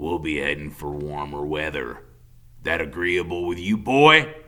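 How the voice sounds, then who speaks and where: Putting on a menacing, raspy character voice, a man with a very deep, low pitch speaks at a moderate pace with ordinary pitch variation. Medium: read story. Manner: folksy, controlling, menacing.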